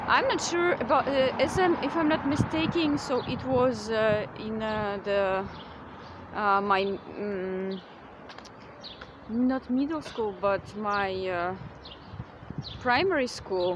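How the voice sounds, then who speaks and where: A woman with a Russian accent speaks at a very slow pace in a fairly high pitch, her intonation lively, with long, frequent pauses, audible room echo and noticeable background noise. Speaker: vlogger. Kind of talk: casual vlog monologue. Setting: outdoors, windy. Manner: halting, many fillers.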